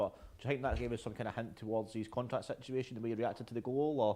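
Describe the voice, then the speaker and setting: Very fast speech from a man with a Scottish accent. The recording is very clean, with a silent background. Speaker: football fan show host. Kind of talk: casual chat.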